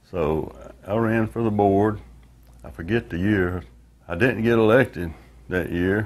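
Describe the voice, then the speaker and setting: A man with a Southern US accent and a fairly low pitch speaks at a fairly slow pace, with ordinary pitch variation and long, frequent pauses. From US South, northwest Florida. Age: 70s. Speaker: retired worker and credit union board member. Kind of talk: oral history interview. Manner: casual, with frequent hesitations.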